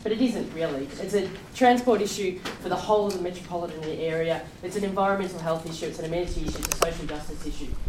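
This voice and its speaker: Talking at a very fast pace, a woman speaks in an Australian accent. The room echo is audible and background noise is noticeable. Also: medium pitch for a woman, ordinary pitch variation. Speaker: public transport advocate. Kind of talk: presentation. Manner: loud. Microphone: no microphone.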